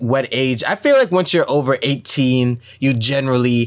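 Speaking at a moderate pace, a man uses a medium pitch and ordinary pitch variation. His tone is animated. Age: 20s. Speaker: podcast host. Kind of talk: casual chat. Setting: studio.

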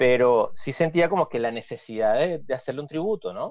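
Here a man speaks with a Venezuelan accent. His pace is moderate. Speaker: musician. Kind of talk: casual chat.

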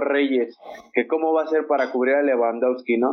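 The voice belongs to a man with a medium pitch. He delivers his words in a monotone, flat intonation. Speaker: football panelist. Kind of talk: casual chat.

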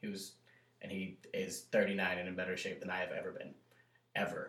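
A man talks with an American accent. He keeps a moderate pace. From US South. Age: 30s. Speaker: army veteran, restaurant manager. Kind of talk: casual chat.

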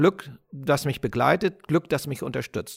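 A man with lively intonation, dry and close with no echo, in a very clean recording with a silent background. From Germany. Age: 50s. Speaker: podcast host. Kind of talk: personal storytelling monologue.

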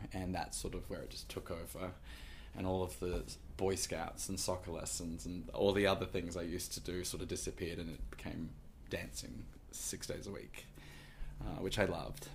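A man with a very deep, low pitch and an American accent, vocal fry, ordinary pitch variation, a moderate pace and audible room echo. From Queensland, Australia (Gold Coast). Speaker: Broadway performer and choreographer. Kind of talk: interview conversation. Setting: studio, in person.

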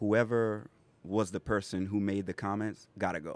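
With an American accent and an unremarkable speaking voice, a man talks at a moderate pace in a fairly low pitch, recorded dry and close with no echo. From South Carolina Lowcountry (Pineville, Berkeley County). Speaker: hip hop artist. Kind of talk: casual interview on community radio. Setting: radio studio, broadcasting live from a food court venue.

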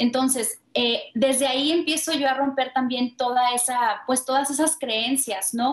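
A woman speaks at a fairly slow pace with hardly any pauses, her high voice keeping fairly even intonation and very even loudness. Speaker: life coach and spiritual author. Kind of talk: interview testimony.

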